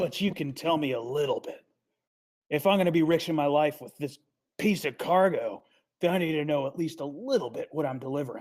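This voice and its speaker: A raspy, put-on character voice at a middle pitch. It moves at a fairly quick pace. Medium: actual play. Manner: blunt, impatient.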